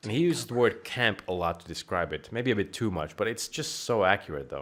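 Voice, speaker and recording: A man's fairly low voice, animated and fairly quick, with very wide pitch swings, on a very clean recording with a silent background. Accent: Finnish. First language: Finnish. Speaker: gaming streamer. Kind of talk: casual gameplay commentary.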